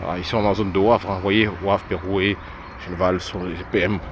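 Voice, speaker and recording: There is noticeable background noise. A man speaks at a moderate pace in a fairly low, flat monotone. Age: 40s. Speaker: vlogger. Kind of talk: walking vlog. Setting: outdoors. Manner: halting.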